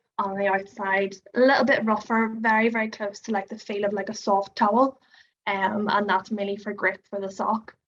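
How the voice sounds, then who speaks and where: In an Irish accent, a woman speaks at a moderate pace and medium pitch with a monotone, flat intonation. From Ireland. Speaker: product founder. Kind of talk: product demonstration.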